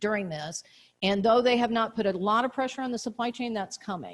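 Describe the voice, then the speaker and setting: A woman talks in a normal speaking voice at a medium pitch. Her pitch variation is ordinary. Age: 60s. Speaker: state economic development official. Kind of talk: conference presentation with Q&A. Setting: conference luncheon, partly streamed online.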